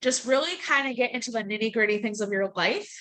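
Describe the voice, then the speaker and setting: A woman's fairly high voice with a bright, sharp tone. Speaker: team coach. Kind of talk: motivational team call. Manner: blunt.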